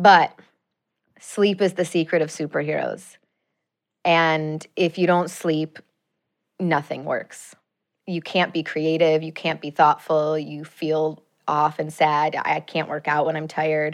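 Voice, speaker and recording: A fairly slow, monotone voice with flat intonation, an American accent and long, frequent pauses against a quiet background. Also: woman, very deep, low pitch for a woman. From US Midwest, Chicago suburbs. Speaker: journalist and TV/podcast host. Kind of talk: casual interview chat. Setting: studio.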